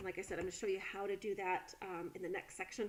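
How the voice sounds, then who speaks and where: Using a plain, everyday voice, a woman speaks at medium pitch and a fairly quick pace. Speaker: college instructor. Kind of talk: tutorial. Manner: casual with many fillers.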